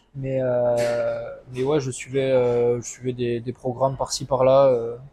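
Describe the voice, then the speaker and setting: A man speaks at medium pitch and a moderate pace. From southwest France (Landes). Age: 20s. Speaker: coaching client. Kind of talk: testimony interview. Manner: hesitant, many fillers.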